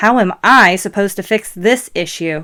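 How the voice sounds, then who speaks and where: A woman's put-on character voice, growling, medium in pitch, at a moderate pace. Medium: read story. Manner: exasperated.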